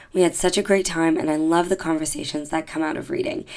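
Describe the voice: The voice has a slightly mellow tone and fairly even intonation. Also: woman.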